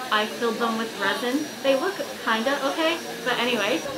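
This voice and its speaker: A woman speaks over noticeable background noise. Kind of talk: casual vlog chat. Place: classroom. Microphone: phone near.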